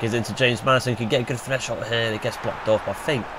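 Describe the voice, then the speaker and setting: A man with a medium pitch speaks very quickly while noticeable noise sounds in the background. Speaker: gaming YouTuber. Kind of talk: gameplay commentary. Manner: casual, self-correcting.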